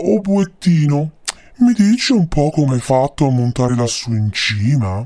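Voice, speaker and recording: A man puts on a character voice pitched fairly high. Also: moderate pace. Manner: sugary, falsely sweet.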